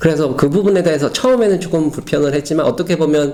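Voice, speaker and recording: A man at a fairly quick pace with ordinary pitch variation, against noticeable background noise. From South Korea. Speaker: Korean expat in Berlin. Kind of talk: casual personal talk to camera. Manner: hesitant, with many fillers.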